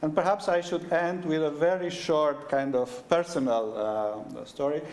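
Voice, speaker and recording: A man speaks at a fairly slow pace with a Romanian accent. His pitch is fairly high, and there is noticeable background noise. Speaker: head of university school. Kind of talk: event welcome speech. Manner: halting, many fillers.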